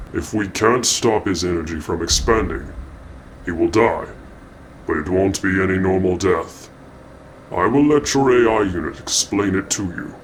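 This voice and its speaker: A man's put-on character voice at a moderate pace, with long, frequent pauses and clear background noise. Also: fairly low pitch for a man. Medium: machinima. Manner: formal, measured.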